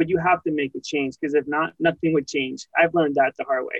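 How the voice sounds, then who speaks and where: The man here speaks at a fairly high pitch. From Washington state, US (born California). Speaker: insurance agency owner. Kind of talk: interview. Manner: halting, many fillers.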